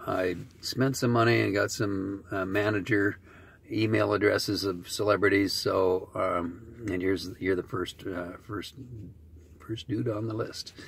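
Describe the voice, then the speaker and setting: A man with a fairly low pitch talks with vocal fry and fairly even intonation. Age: 60s. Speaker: author and recovering addict. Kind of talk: video message. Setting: in a car. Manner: fast; halting.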